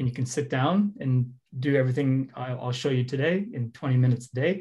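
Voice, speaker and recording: At a fairly quick pace, a man speaks in a medium pitch with a dark, mellow, somewhat breathy tone and ordinary pitch variation. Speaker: head of product giving a workshop. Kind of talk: interactive online workshop. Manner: fast.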